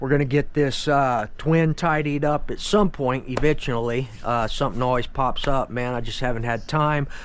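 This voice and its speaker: Amid audible room echo, a man speaks at a moderate pace with hardly any pauses, his pitch fairly high and his intonation fairly even. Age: 50s. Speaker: RC hobbyist YouTuber. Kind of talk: casual product walkthrough. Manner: casual, filler-heavy.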